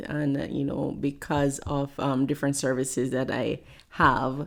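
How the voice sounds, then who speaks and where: A woman with a strong Jamaican accent speaks at a fairly slow pace, her pitch very deep and low. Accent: thick Jamaican. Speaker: pastor and motivational speaker. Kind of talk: interview conversation.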